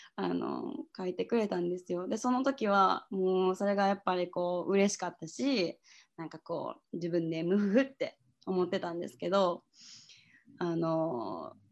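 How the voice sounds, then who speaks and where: Moderate pace and ordinary pitch variation over a quiet background. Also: woman, medium pitch for a woman. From Japan, Osaka. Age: 20s. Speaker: hostel worker and writer. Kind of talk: casual interview.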